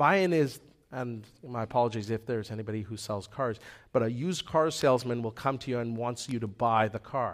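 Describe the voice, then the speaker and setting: With a Canadian accent, a man talks at a medium pitch with ordinary pitch variation and an unremarkable speaking voice, on a very clean recording with a silent background. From Manitoba, Canada. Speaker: lay preacher. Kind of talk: sermon. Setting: church.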